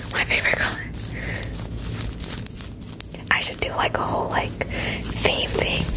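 The woman speaks in a whisper. She keeps a moderate pace. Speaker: ASMR video creator. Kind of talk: casual soft-spoken ASMR chat. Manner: soft, close-mic ASMR talk. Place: home room. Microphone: studio mic.

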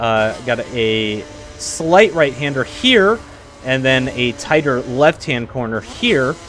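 Speaking at a very slow pace, a man uses lively intonation over noticeable background noise. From Texas. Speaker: gaming youtuber. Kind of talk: live gameplay commentary.

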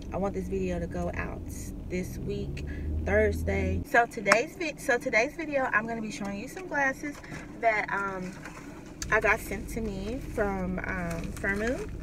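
Over noticeable background noise, a woman talks at a fairly slow pace with big swings in loudness, the sound dry with no echo. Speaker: vlogger reviewing products. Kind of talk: casual vlog chat. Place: car. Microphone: phone near.

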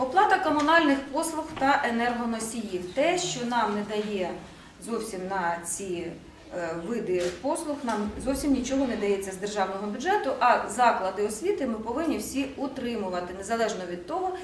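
Very wide pitch swings mark this moderate-paced voice, heard with audible room echo and light background noise. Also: woman. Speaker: education department official. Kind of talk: formal meeting presentation. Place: meeting room. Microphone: camera far.

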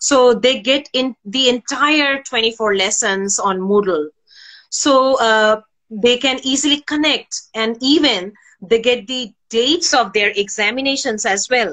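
A woman speaks at a fairly slow pace with a Bengali accent, her pitch high with ordinary variation. Her tone is bright and sharp, over a quiet background. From Bangladesh. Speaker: university senior lecturer. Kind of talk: interview answer. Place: home room. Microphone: video call.

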